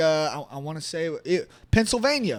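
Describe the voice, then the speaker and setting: With an American accent, a man speaks in an animated tone at a moderate pace and a high pitch. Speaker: political podcast host. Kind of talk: political commentary rant. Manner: animated, loud; halting, repetitive stammers.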